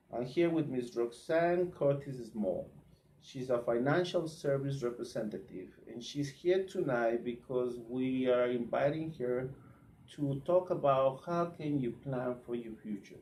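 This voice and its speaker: A man with a Spanish accent, a dark, mellow tone and ordinary pitch variation. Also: medium pitch for a man. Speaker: truck drivers' association leader, live show host. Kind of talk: live Facebook talk show interview. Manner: halting, repeats words.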